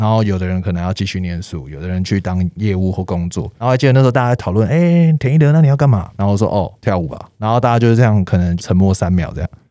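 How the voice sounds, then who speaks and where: Here a man with a fairly low, dark, mellow voice talks very fast. He barely pauses and his intonation is lively. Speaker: street dancer. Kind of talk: casual interview.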